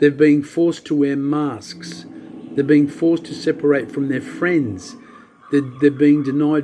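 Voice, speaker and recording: A man whose voice sits rather high talks somewhat slowly amid noticeable background noise. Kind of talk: spoken-word soliloquy reading.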